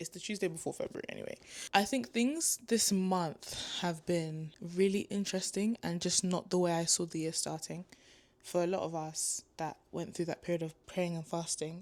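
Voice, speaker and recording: Heard on a very clean recording with a silent background, an unremarkable speaking voice moves at a moderate pace with fairly even intonation. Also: woman. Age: 20s. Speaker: vlogger, university student. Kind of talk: casual vlog talk to camera. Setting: art gallery, then at home.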